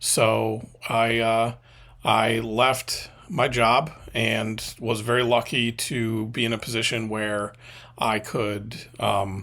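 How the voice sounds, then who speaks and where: Very slowly, a man speaks at a medium pitch in a bright, sharp tone. His intonation is monotone and flat, on a very clean recording with a silent background. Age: 40s. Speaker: media consultant and former video editor. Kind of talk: casual vlog monologue. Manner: halting with many fillers.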